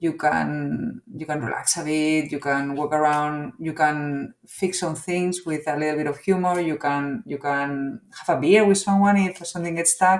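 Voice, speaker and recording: A woman talks with a very deep, low pitch and hardly any pauses. Noticeable background noise is present. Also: ordinary pitch variation, moderate pace. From Spain. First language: Spanish. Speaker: business executive. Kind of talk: interview. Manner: halting, with fillers.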